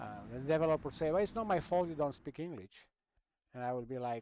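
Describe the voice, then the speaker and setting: A man with a Romanian accent speaks with ordinary pitch variation. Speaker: gaming streamer. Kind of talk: casual gameplay commentary.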